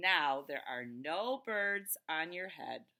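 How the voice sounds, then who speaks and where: Very slow delivery in a put-on character voice, pitched in the middle range. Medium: read story. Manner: calm, matter-of-fact.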